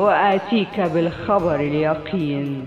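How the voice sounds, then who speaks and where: With music in the background, a woman speaks at a very slow pace with ordinary pitch variation. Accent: Egyptian. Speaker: voice-over artist. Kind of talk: read story. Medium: read story.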